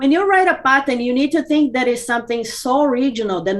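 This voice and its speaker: With a Portuguese accent, a woman speaks at a fairly quick pace with lively intonation. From Brazil. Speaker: business consultant. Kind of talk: interview. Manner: halting, many fillers.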